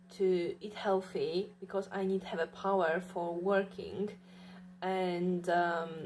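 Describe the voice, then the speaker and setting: Very slow and monotone, a woman's voice keeps a flat intonation throughout. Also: medium pitch for a woman. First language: not English. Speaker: vlogger. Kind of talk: casual monologue. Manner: halting, many fillers.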